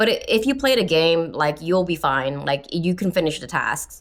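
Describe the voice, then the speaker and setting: A woman speaks with a very deep, low pitch. Her intonation is lively and her pace moderate. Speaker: video game player. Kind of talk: casual talk to camera. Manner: rambling, filler words.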